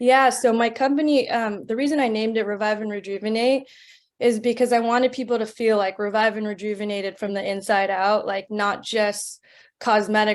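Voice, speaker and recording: Speaking at a moderate pace with an American accent, a woman uses a fairly high voice and fairly even intonation. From California. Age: 30s. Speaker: nurse practitioner and entrepreneur. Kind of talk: interview. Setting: webinar.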